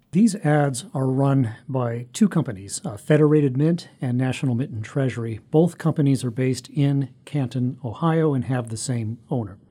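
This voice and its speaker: A man speaks in a medium pitch with a somewhat breathy voice. He barely pauses at all. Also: ordinary pitch variation, moderate pace. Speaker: newspaper reporter. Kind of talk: news interview explanation.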